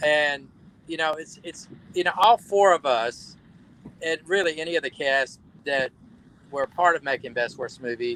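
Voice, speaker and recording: With a Southern US accent, a man at a fairly high pitch and bright, sharp tone speaks at a moderate pace, with ordinary pitch variation and long, frequent pauses. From US South, Alabama. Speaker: actor. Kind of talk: casual chat. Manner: halting.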